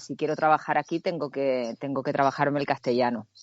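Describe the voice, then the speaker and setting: A fairly quick-paced woman's voice, with ordinary pitch variation. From Canary Islands (Tenerife). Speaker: actress. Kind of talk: interview.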